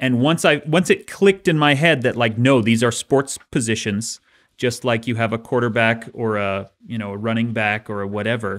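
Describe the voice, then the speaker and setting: A man with a plain, everyday voice, medium in pitch with ordinary variation, at a moderate pace with hardly any pauses over a quiet background. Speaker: author and podcast co-host; podcast co-host. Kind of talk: casual chat. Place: studio. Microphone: studio mic.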